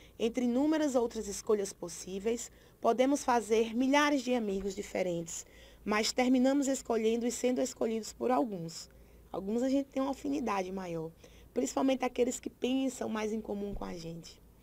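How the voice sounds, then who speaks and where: Lively intonation from a woman at a moderate speed, her pitch fairly high. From Brazil, Paraíba. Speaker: teacher. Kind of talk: lecture.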